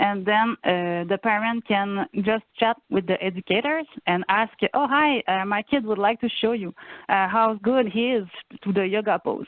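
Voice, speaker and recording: In a Quebec accent, a woman speaks at a moderate pace with very even loudness. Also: medium pitch for a woman, ordinary pitch variation. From Quebec, Saguenay–Lac-Saint-Jean. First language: French. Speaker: family and youth program coordinator. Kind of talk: presentation in video meeting. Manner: halting, many fillers.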